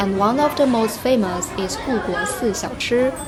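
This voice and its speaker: Crowd noise fills the background as a woman speaks with a Chinese accent. She talks at a fairly slow pace with ordinary pitch variation. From China. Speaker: travel guide. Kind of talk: travel vlog narration.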